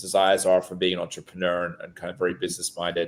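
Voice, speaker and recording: A very deep, low male voice in a very clean recording with a silent background. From England, small town north of London. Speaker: real estate and horse investor, former show jumper. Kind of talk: podcast interview.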